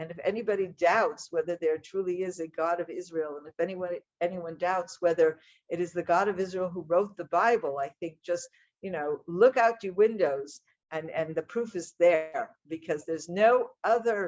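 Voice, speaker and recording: A woman with an American accent and an unremarkable speaking voice talks at a moderate pace in a fairly low pitch, with ordinary pitch variation and big swings in loudness. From United States. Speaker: speaker on Israel and the Bible. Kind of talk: talk to an audience. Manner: conversational, with fillers.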